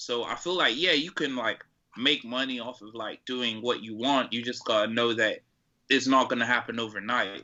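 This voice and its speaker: In an American accent, a man with a normal speaking voice talks with fairly even intonation and big swings in loudness. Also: medium pitch for a man, moderate pace. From Atlanta, US South. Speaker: rapper and producer. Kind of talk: casual interview chat.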